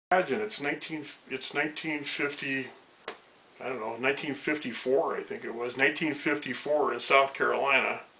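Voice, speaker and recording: Over noticeable background noise, a man with an American accent talks at a moderate pace in a fairly high pitch, with ordinary pitch variation. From Colorado (Denver area), US. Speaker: retired teacher. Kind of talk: interview, personal life story. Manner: halting, many fillers and repetitions.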